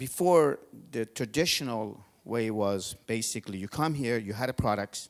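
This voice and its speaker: With a non-native accent, a man speaks at medium pitch and a moderate pace with ordinary pitch variation in a very clean recording with a silent background. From Georgia (country). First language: not English. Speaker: event host and tech entrepreneur. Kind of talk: speech to audience.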